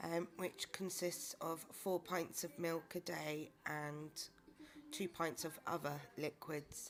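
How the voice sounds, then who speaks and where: With a British accent, a woman with a fairly low pitch speaks very slowly in a monotone, flat intonation. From UK. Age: 30s. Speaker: vlogger. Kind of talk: personal video diary. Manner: hesitant, with many fillers.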